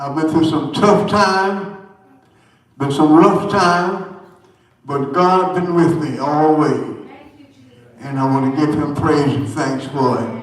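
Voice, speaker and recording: Audible room echo surrounds a man speaking at a very slow pace with long, frequent pauses. His pitch is fairly high, with ordinary variation. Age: 80s+. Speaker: church elder giving testimony. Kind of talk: church testimony. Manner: halting.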